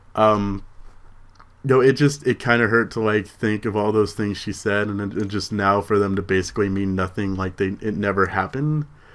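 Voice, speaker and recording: A man speaks at a fairly low pitch. His pace is moderate. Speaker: vlogger. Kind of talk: personal vlog. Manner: mumbling; halting.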